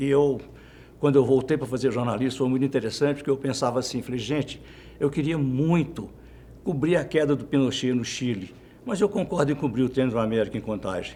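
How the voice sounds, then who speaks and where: His dark, mellow voice moves at a fairly quick pace, and this man's pitch varies in an ordinary way. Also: medium pitch for a man. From Minas Gerais interior, Brazil. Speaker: journalist. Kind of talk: interview. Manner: halting.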